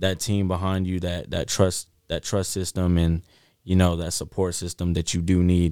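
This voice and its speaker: With an American accent, a man talks at a fairly quick pace in a very deep, low pitch, his tone dark and mellow and his intonation monotone and flat, on a very clean recording with a silent background. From North Highlands, Sacramento area, California. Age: 20s. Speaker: recording artist and songwriter. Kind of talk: casual chat.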